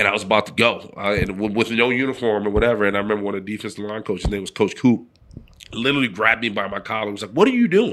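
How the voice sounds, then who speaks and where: In a New York accent, a man talks at a very fast pace with a fairly low voice and fairly even intonation. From New York City (the Bronx). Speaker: former football player and sports broadcaster. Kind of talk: casual interview chat.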